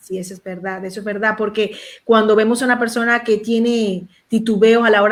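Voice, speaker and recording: This is a normal speaking voice. A woman speaks with a fairly high pitch. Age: young. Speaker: pastor, show host. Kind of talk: panel discussion.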